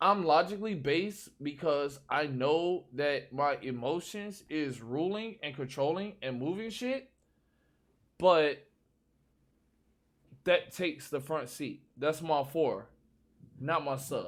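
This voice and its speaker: Speaking very slowly, a man leaves long, frequent pauses. His pitch is fairly high and his intonation lively. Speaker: streamer and podcast host. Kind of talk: casual chat. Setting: live stream. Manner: slurred.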